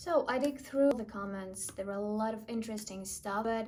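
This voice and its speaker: The speaker has a non-native accent and talks at a moderate pace with ordinary pitch variation. There is audible echo from the room. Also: woman. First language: not English. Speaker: YouTuber reading online comments. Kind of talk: reading comments aloud with reactions.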